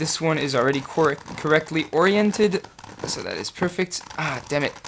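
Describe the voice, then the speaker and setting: This man talks at a moderate pace. Noticeable background noise runs under him. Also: fairly high pitch for a man, ordinary pitch variation. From France. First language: French. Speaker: puzzle solver YouTuber. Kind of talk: casual solve commentary. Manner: hesitant, many fillers.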